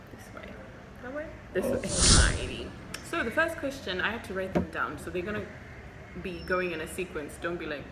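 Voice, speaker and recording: A woman with a Zimbabwean accent and a medium pitch talks at a very fast pace amid audible room echo and noticeable background noise. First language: Shona. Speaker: doctor and medical vlogger. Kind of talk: Q&A vlog. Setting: hospital.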